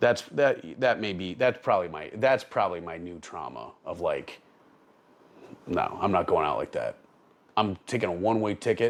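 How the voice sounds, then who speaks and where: A man's loudness swings widely as he talks at a moderate pace. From Upstate New York (Albany area). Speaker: attorney and army veteran. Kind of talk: casual conversational interview. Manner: animated, profane.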